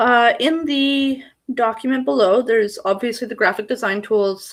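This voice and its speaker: On a very clean recording with a silent background, a woman speaks at a moderate pace with lively intonation. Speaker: YouTuber and self-publishing author. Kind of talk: livestream tutorial. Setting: livestream video at home. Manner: casual, halting with fillers.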